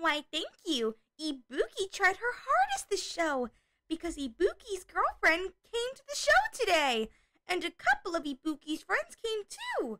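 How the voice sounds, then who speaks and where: A woman puts on a character voice with a bubbly tone at an extremely high pitch. She talks at a moderate pace, and the sound is dry and close with no echo. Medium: audio drama. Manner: speaks of herself in third person, bubbly.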